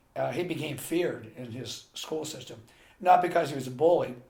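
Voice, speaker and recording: A man with an American accent talks at a moderate pace in a somewhat breathy, dark, mellow voice, with audible room echo. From US, Pennsylvania (Carlisle). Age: 60s. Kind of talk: interview.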